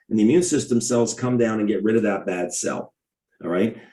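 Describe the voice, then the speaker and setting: A man talks in a normal speaking voice at a medium pitch. His pace is fairly quick. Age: 60s. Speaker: podiatrist promoting a health product. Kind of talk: sales pitch. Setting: video call.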